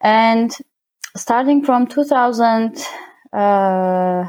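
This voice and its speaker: A woman's fairly high voice with ordinary pitch variation and an Armenian accent. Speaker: winemaker. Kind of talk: interview. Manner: halting.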